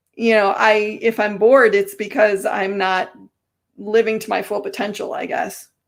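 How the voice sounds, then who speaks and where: On a very clean recording with a silent background, a woman in a normal speaking voice speaks at a moderate pace and fairly high pitch, with ordinary pitch variation and big swings in loudness. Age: 50s. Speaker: talk show host. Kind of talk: interview.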